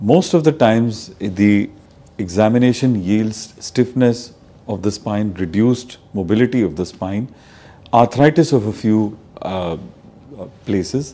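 Lively intonation marks this man's fairly low pitch and dark, mellow tone. He speaks at a fairly slow pace. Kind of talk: medical explainer to camera. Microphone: lapel.

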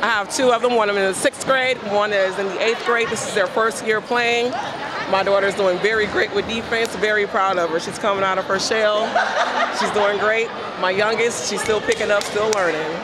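Fairly quick speech with fairly even intonation over clear background noise. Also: woman, medium pitch for a woman.

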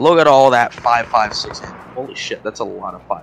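Noticeable background noise surrounds this clip. A man speaks at a moderate pace with a medium pitch. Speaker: gamer friend. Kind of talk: casual chat.

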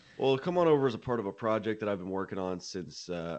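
Ordinary in pitch variation, a man speaks with an American accent. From Nashville, Tennessee, US South; Tennessee. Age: 20s. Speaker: country singer-songwriter; guest. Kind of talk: interview. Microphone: studio mic.

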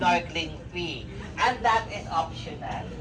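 Against noticeable background noise, a woman with a Filipino accent speaks at a very slow pace. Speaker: tour guide. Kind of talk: tour guide briefing. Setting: boat with tourists. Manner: upbeat, animated, crowd-pleasing.

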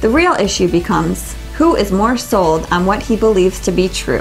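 Moderate-paced speech from a woman, faint music in the background. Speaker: book reviewer. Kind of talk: book review monologue. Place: shop. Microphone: lapel.

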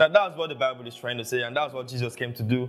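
Faint background music accompanies a man as he talks. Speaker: preacher. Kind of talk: sermon. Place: home room.

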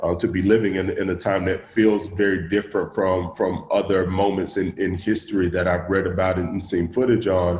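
With a Southern US accent, a man speaks at a moderate pace in a low voice with a slightly mellow tone and little pitch movement, and room echo is audible. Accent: Southern American.

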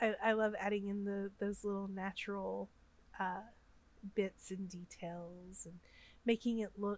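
A woman with an American accent speaks at a fairly slow pace and medium pitch. Her intonation is monotone and flat. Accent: Southern US, comes out when upset. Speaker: Sims gaming YouTuber. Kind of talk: gameplay voiceover commentary. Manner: halting, frequent fillers and repeats.

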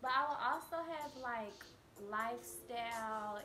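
Over noticeable background noise, a woman talks in a fairly high voice with an American accent. Her pitch varies in an ordinary way. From Texas, Dallas. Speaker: beauty YouTuber. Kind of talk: casual vlog. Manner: casual, filler-heavy. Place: home room. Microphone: phone near.

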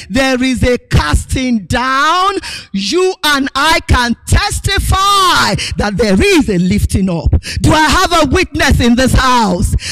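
Shouting, a woman speaks at a very slow pace. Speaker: preacher. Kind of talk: sermon. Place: hall. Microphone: handheld.

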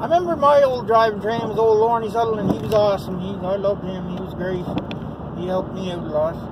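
The speech comes at a very fast pace. Loud background noise sits behind it. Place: car. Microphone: phone near.

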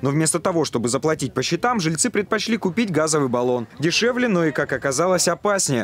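A man talks at a fairly high pitch with very wide pitch swings and very even loudness. His pace is fairly quick, with hardly any pauses. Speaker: TV news reporter. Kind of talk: news reporting. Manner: formal.

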